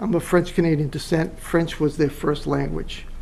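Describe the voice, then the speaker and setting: A fairly high-pitched man with an American accent is heard over noticeable background noise. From Massachusetts. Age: 60s. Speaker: property owner. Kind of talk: presentation.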